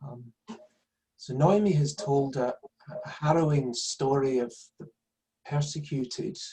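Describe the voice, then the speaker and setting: With a dark, mellow tone and a somewhat breathy delivery, a man speaks at a fairly high pitch. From Scotland, Glasgow. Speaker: son of a Nazi perpetrator, speaker. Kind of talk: public talk.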